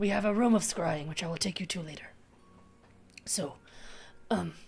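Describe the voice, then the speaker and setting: In a put-on character voice, the speaker sounds raspy at a middle pitch and a moderate pace. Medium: actual play. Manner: slow, formal, grandfatherly.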